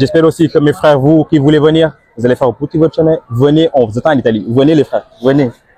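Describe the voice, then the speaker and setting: Dry and close with no echo, a man's fairly high voice races at a very fast pace with ordinary pitch variation. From Senegal. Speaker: immigrant interviewee. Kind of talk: interview. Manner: casual.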